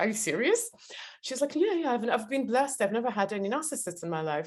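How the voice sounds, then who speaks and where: A woman with a strong non-native accent speaks with very wide pitch swings. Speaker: podcast host, interviewer. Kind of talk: reading aloud; interview. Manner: halting, many fillers.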